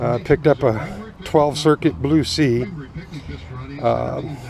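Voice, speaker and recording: Over light background noise, a man speaks in a dry sound with no echo. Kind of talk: casual vlog chat. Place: open country. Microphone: phone near.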